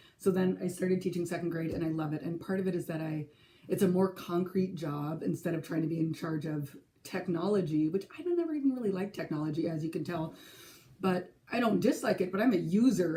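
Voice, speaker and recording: A woman with an American accent at a fairly quick pace, fairly low in pitch, with ordinary pitch variation. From California, San Francisco area. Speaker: crafting vlogger and teacher. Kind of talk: casual vlog. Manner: chatty, with hesitations.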